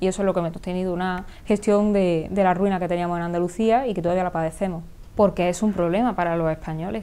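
A woman speaks at a very fast pace with a medium pitch. Her tone is dark and mellow, her intonation fairly even. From Córdoba province, Andalusia, Spain. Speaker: politician. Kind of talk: interview answer. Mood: firm, critical, assertive. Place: studio. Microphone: lapel.

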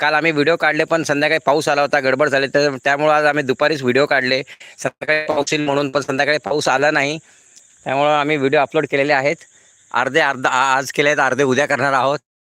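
A man with a fairly high voice speaks at a very even loudness, and the sound is dry and close with no echo. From Pune, Maharashtra. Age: 50s. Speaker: YouTuber, retired banker. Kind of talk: live stream chat. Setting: outdoors on a farm. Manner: animated.

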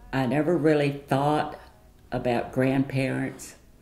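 A woman with a very deep, low pitch, very slow and monotone in flat intonation, with music in the background. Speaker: grandmother. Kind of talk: interview answer. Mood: warm, nostalgic storytelling. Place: home room.

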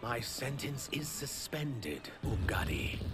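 A man's put-on character voice at a medium pitch and a fairly slow pace, over loud background noise. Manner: acted line.

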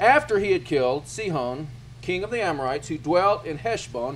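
This man speaks with lively intonation. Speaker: teacher leading a scripture study. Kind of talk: sermon. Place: hall. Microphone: handheld.

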